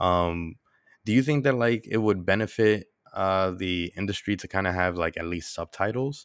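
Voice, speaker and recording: With an American accent, a man speaks at a very deep, low pitch and moderate pace with ordinary pitch variation, on a very clean recording with a silent background. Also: dry, close sound with no echo. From New York. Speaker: podcast host. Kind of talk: casual interview.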